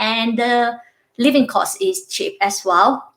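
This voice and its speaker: A woman speaks with a Vietnamese accent. Her pitch sits fairly high. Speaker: university lecturer. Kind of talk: interview.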